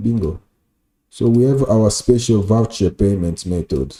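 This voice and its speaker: A man speaks very slowly at a medium pitch. His tone is dark and mellow, and somewhat breathy. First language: French. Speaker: software developer and designer streaming live. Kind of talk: live coding tutorial. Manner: casual, with many filler sounds.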